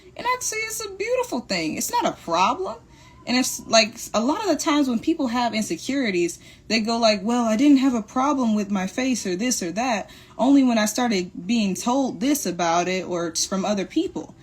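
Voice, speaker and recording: Noticeable background noise accompanies a woman talking at a fairly quick pace, her fairly high pitch making very wide swings. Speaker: motivational live streamer. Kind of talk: motivational talk. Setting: livestream. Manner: fast.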